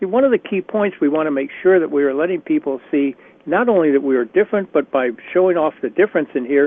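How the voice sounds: A man's fast delivery with lively intonation, in a dry, close sound with no echo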